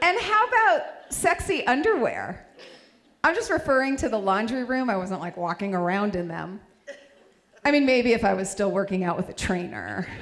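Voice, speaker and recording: There is noticeable background noise behind a woman at a moderate pace. Her fairly high voice makes very wide pitch swings. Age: 50s. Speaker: stand-up comedian. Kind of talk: stand-up.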